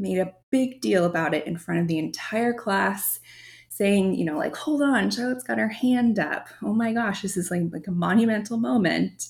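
Somewhat breathy and medium in pitch, a woman's voice carries lively intonation. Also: moderate pace. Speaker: podcast host and marketing agency founder. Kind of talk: solo podcast monologue. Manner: articulate.

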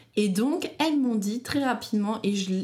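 Her voice is fairly high in pitch and somewhat breathy, with lively intonation. The woman keeps a moderate pace. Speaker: bridal shop owner, entrepreneur and mother. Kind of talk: casual interview, personal testimony. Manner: talkative.

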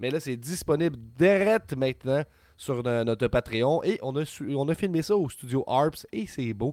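Lively in intonation, a man speaks at a fairly slow pace with a fairly high pitch and a dark, mellow tone. The recording is very clean, with a silent background. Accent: Quebec. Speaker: wrestling podcast co-host. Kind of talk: casual chat. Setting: live stream. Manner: animated.

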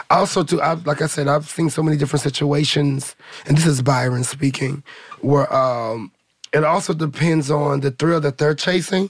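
A somewhat breathy man with an American accent, fairly high pitch, fairly even intonation and a moderate pace. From St. Louis, Missouri. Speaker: ballroom community member. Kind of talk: group conversation.

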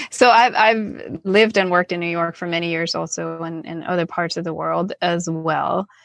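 With a Danish accent, a woman speaks at a moderate pace, in fairly low pitch, with hardly any pauses. Her intonation is fairly even, her loudness swings widely, and the background is quiet. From Denmark, Copenhagen. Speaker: creative director and design consultant. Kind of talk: interview.

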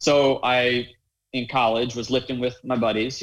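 Speaking with an American accent and a plain, everyday voice, a man of medium pitch keeps fairly even intonation at a moderate pace. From US South, North Carolina. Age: 20s. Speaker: adaptive athlete and fitness coach. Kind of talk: interview conversation.

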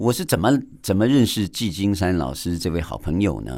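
In a very deep, low pitch, a man speaks fairly slowly with lively intonation. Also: very clean recording, silent background. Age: 50s. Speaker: podcast host and abstract painter. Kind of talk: radio interview; podcast monologue. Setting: radio studio.

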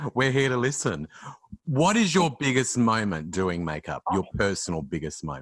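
A man's medium-pitched voice with vocal fry, very wide swings in pitch, and a moderate pace. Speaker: radio host. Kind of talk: casual chat.

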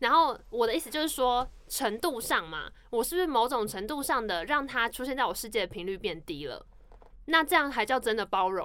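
At a fairly quick pace, a woman with a Taiwanese accent speaks in a high pitch and a bright, sharp, animated tone, with very wide pitch swings and big swings in loudness. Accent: Taiwanese Mandarin. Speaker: podcast co-host. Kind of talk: casual chat.

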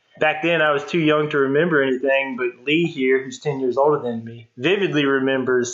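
A man speaks in an ordinary speaking voice at medium pitch, fairly quickly, with fairly even intonation. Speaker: guest fan discussing the show. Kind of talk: casual chat.

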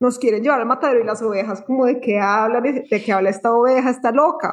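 Her voice is high in pitch, and this woman shows ordinary pitch variation. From Colombia, Bogotá. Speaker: spiritual content creator. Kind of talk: casual interview.

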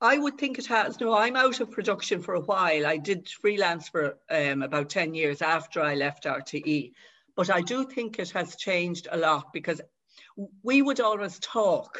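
Someone with a Dublin accent speaks at a moderate pace. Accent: Dublin Irish. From Dublin, Ireland. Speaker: author. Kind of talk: casual chat.

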